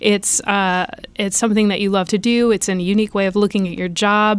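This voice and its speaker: A woman speaks at a fairly quick pace in an ordinary speaking voice, her pitch medium. The recording is very clean, with a silent background. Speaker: HR team member. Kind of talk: casual interview. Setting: studio.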